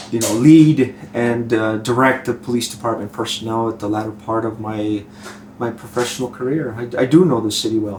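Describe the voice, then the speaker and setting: A man talks fairly quickly and keeps his intonation fairly even while noticeable background noise runs underneath. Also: medium pitch for a man. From southern New Mexico. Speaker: retired police chief. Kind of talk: interview.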